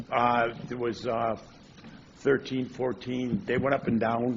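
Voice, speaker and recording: Against noticeable background noise, a man with a medium pitch speaks at a fairly slow pace. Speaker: district staff manager giving report. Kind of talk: public board meeting report. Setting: board meeting room. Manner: halting, many fillers; loud.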